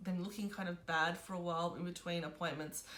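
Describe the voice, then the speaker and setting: A woman with an Australian accent at a fairly quick pace, with audible room echo. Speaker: beauty vlogger. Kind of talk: casual product review vlog.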